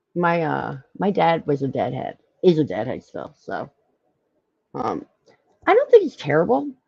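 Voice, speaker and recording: With a slight Philadelphia accent, a woman talks at a moderate pace, pausing long and often, her loudness swinging widely. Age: 40s. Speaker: live stream host. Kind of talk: casual chat. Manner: halting.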